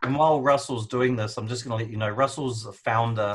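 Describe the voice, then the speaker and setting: A man speaks at a fairly quick pace with a fairly low pitch and a somewhat breathy sound. His intonation is fairly even, and the background is quiet. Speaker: marketing business co-owner, webinar host; webinar host. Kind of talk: live online training intro. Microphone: video call.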